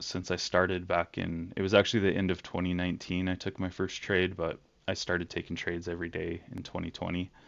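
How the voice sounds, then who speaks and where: A man talks in a very deep, low voice with fairly even intonation. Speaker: day trader. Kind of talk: casual trading review voice-over.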